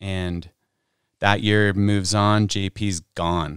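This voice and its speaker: On a very clean recording with a silent background, a man with an American accent speaks in a monotone, flat intonation, the sound dry and close with no echo. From Utah. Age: 40s. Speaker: pro snowboarder. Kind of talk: casual chat. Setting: studio.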